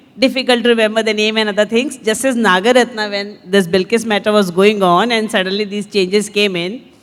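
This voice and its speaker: A woman's fairly high voice, with fairly even intonation, comes through over noticeable background noise. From northern India, Hindi belt. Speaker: lawyer, panelist. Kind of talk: panel discussion.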